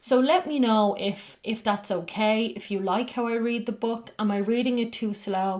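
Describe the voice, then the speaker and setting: A woman with an Irish accent, a fairly high pitch, ordinary pitch variation and hardly any pauses. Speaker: spiritual podcast host reading books aloud. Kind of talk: casual reflective commentary after a reading; slow, careful book reading. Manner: slowed down, carefully enunciated when reading.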